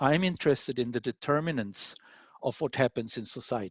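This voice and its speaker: With an Austrian accent, a man speaks at a fairly quick pace and medium pitch with ordinary pitch variation, his dry, close sound with no echo set against a quiet background. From Austria (Vienna). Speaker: scientist. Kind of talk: lecture.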